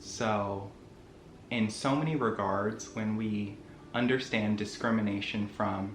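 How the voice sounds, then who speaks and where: With audible room echo and music in the background, a man with an American accent talks at a medium pitch with fairly even intonation. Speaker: YouTuber. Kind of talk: vlog monologue.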